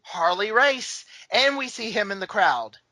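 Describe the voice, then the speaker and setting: A woman's raised, projected voice at a moderate pace, with very wide pitch swings. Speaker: wrestling podcast co-host. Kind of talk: casual chat recapping a wrestling event.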